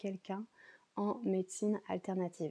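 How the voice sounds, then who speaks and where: A woman speaks in a dark, mellow tone at medium pitch. Her intonation is fairly even and her pace fairly slow. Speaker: yoga teacher and ayurveda practitioner. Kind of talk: casual solo podcast talk. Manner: hesitant, many fillers.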